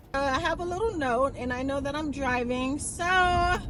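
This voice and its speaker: At a moderate pace, a woman speaks with a high pitch and ordinary pitch variation. Noticeable background noise and audible room echo fill the recording. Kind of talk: casual vlog. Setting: in a car. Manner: soft-spoken.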